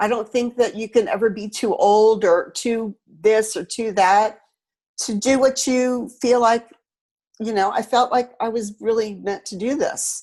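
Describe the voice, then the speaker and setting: Her pace fairly slow and intonation fairly even, a woman speaks at a fairly high pitch in an ordinary speaking voice. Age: 60s. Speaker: painter and sculptor. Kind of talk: interview. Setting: video call.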